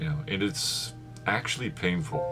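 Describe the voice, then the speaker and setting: Soft-spoken, a man talks with very wide pitch swings while music plays in the background. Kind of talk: casual talk to camera. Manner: soft-spoken, reflective.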